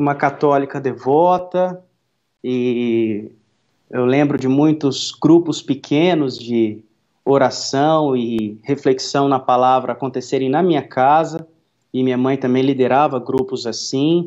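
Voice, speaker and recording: Keeping a fairly even intonation, a man speaks at a very slow pace. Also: medium pitch for a man. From interior of Minas Gerais, Brazil. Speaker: pastor and worship musician. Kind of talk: interview testimony.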